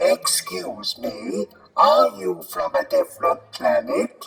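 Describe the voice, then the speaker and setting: The speaker is a man using a put-on character voice. His delivery is very slow. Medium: audio drama. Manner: brusque, impatient.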